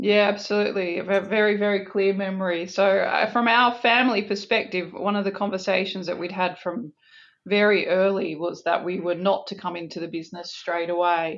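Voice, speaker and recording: A woman with an Australian accent speaks fairly quickly in a medium pitch, her intonation fairly even. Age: 40s. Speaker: business executive. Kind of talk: interview.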